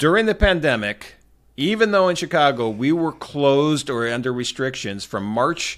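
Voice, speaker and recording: On a very clean recording with a silent background, a man speaks at a moderate pace in an animated tone. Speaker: tax accountant. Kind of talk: interview.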